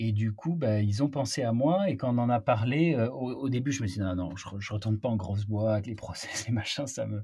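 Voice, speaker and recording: The voice has a dark, mellow tone, somewhat breathy, with ordinary pitch variation. It moves at a fairly quick pace with hardly any pauses. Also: man, medium pitch for a man. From Marseille, southern France. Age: 30s. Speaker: entrepreneur. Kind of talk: interview conversation. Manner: hesitant, frequent repetitions.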